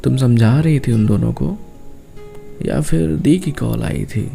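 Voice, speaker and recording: A soft-spoken man talks in a gentle tone. Music plays in the background. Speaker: voiceover artist and writer. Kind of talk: emotional love-talk monologue, relaxing spoken-word. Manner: soft, gentle, intimate, heartfelt.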